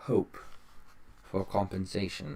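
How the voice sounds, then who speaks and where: A man puts on a character voice at a fairly low pitch. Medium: read story.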